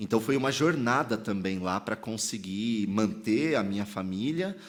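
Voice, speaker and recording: A man is speaking at a moderate pace. He talks with a São Paulo accent. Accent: Paulistano. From São Paulo, Brazil (Sacomã, south zone). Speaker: pastor and theologian. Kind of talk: podcast interview. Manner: casual slangy.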